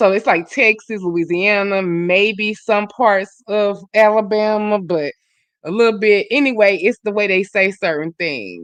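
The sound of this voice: A woman with a Southern US accent at a medium pitch, fairly slow pace and ordinary pitch variation, against a quiet background. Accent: Southern drawl.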